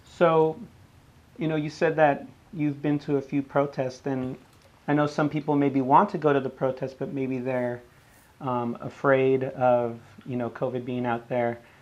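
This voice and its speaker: Man at a moderate pace, fairly high in pitch, with fairly even intonation. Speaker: podcast host. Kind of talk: interview. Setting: video call.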